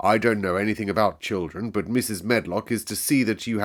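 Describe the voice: The words are read aloud plainly. Intonation remains fairly even throughout.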